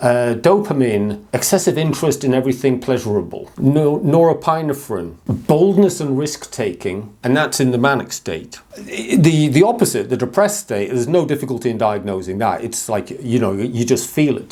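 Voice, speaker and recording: A man's medium-pitched speech at a moderate pace, with hardly any pauses, very wide pitch swings and noticeable background noise. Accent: English. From England. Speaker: mental health vlogger. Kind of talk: personal talk to camera.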